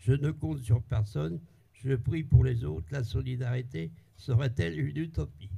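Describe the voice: A man's medium-pitched voice, dark and mellow in tone, with vocal fry, a slightly husky edge, ordinary pitch variation and a fairly slow pace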